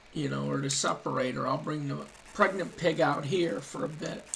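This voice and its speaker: Speech moves at a fairly slow pace in a relaxed tone. Noticeable background noise can be heard. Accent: American. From Ohio, with Kentucky family. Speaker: gaming streamer. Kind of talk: live gameplay commentary. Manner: relaxed, casual.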